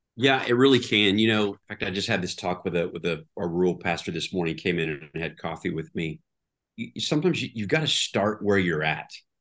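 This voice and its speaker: A very fast, very deep, low-pitched man's voice with lively intonation and an American accent over a quiet background. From Oklahoma, Tulsa. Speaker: pastor. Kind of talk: interview conversation.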